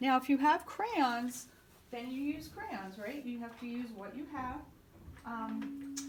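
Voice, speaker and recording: Speaking at a very slow pace with big swings in loudness, a woman uses a high pitch and ordinary pitch variation amid audible room echo. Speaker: art teacher. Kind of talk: tutorial.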